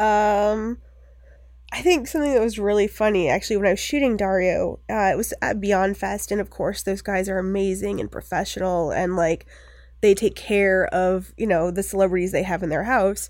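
With an American accent and a plain, everyday voice, the speaker moves at a moderate pace on a very clean recording, silent background. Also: woman, medium pitch for a woman, ordinary pitch variation. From US Northeast, Maine (Bucksport near Bangor). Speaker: filmmaker and photographer. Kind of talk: casual interview chat.

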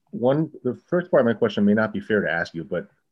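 A man with an American accent talks at a fairly quick pace. His medium pitch makes very wide swings. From US East Coast (Washington DC area). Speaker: podcast host and historian. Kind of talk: interview.

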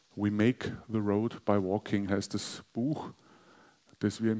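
A man's fairly low, dark, mellow voice in a monotone, flat intonation. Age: 40s. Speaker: pastor. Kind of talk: sermon.

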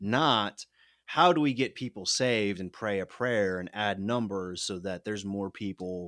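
A man talks with a fairly low pitch, ordinary pitch variation, and a moderate pace. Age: 30s. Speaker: political activist, former mayoral candidate. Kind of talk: interview, personal testimony. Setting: remote call across the Atlantic.

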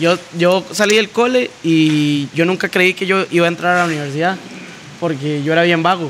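A man's high-pitched voice with ordinary pitch variation over noticeable background noise. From Costa Rica, San Ramón. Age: 20s. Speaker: DJ and electronic music producer. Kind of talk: casual chat.

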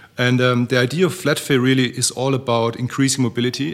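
Here a man speaks at a very fast pace with a medium pitch and fairly even intonation. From Germany. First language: German. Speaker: startup founder. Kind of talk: panel discussion.

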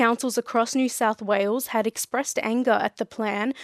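An Australian accent marks this woman's fairly high-pitched voice, with fairly even intonation at a moderate pace. The sound is dry and close with no echo, over a quiet background. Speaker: radio newsreader. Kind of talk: regional radio news bulletin reading. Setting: studio. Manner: crisp, measured, even-paced newsreader delivery.

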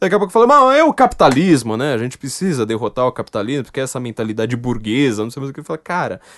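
Against a quiet background, a man talks at a very fast pace with lively intonation and an animated tone in a dry, close sound with no echo. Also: medium pitch for a man. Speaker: podcast host. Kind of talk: casual chat.

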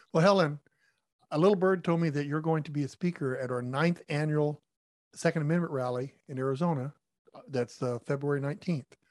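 A man talks at a fairly quick pace with fairly even intonation, the sound dry and close with no echo. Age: 60s. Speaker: podcast co-host, former gun shop owner. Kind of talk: casual interview.

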